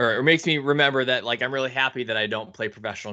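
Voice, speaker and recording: A man races along at a very fast pace while the background stays quiet. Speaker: podcast host. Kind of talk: casual podcast chat. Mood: light, joking. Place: home room. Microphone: studio mic.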